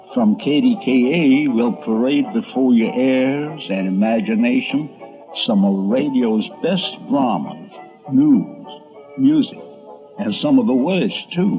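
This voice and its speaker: With music in the background, a man speaks very slowly, his pitch swinging very widely. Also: fairly high pitch for a man. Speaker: radio and TV columnist. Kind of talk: documentary narration.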